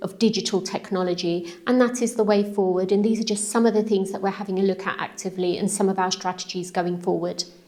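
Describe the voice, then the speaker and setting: Intonation here remains fairly even. It is a plain, everyday voice. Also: woman. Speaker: council leader, politician. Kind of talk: interview answer. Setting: council chamber, echoey room.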